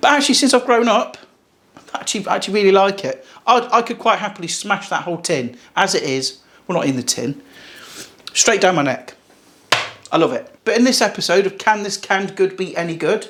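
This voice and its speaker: An English accent comes through with lively intonation and an animated tone. The pace is fairly quick, broken by long, frequent pauses. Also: man, high pitch for a man. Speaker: cooking youtuber. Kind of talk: casual cooking vlog.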